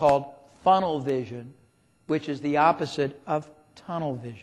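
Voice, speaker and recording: On a very clean recording with a silent background, a man with an unremarkable speaking voice speaks at a fairly high pitch with ordinary pitch variation and a moderate pace. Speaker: business consultant. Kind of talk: seminar talk.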